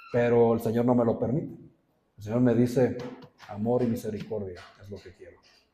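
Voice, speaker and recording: Male voice, medium in pitch, at a fairly quick pace. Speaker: pastor. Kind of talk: sermon. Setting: church. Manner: serious, stern-sounding.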